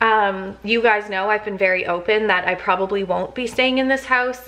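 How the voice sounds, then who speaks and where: This woman speaks with a Canadian accent. Her pace is fairly slow and her intonation fairly even. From Canada, Toronto area. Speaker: lifestyle vlogger. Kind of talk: casual vlog chat to camera. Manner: chatty, with many fillers.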